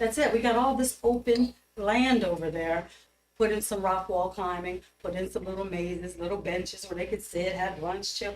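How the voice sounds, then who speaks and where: Speaking in an American accent with an animated tone, a woman talks at a moderate pace in a medium pitch with ordinary pitch variation. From Middletown, Pennsylvania (US). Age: 60s. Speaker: public commenter, teacher. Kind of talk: public comment at council meeting. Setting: council meeting.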